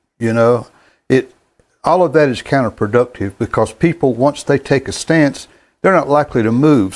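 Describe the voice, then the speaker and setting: A man speaks at a moderate pace with a Southern US accent and ordinary pitch variation. The recording is very clean, with a silent background. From US South, North Carolina. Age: 70s. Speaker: gospel sing-along host. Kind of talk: casual monologue. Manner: halting.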